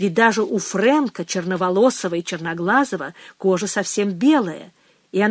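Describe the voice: The voice reads aloud plainly. It is plain reading aloud.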